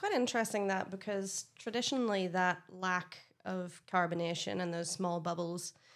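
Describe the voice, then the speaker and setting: On a very clean recording with a silent background, a woman speaks in a Northern Irish accent. Her medium-pitched voice keeps a moderate pace and fairly even intonation. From Northern Ireland. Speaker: beer expert, brewery sales manager. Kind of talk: casual chat.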